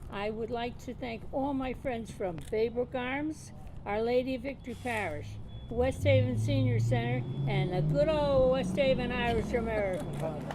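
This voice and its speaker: Very wide pitch swings amid noticeable background noise and audible room echo. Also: woman, medium pitch for a woman, moderate pace. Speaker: award honoree. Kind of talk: acceptance speech.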